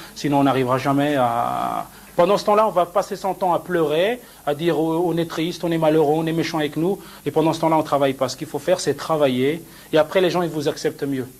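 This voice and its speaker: A man at a fairly quick pace in a fairly high pitch with ordinary pitch variation, over noticeable background noise. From France (Besançon), Moroccan family. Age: 30s. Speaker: fashion designer. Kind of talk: interview.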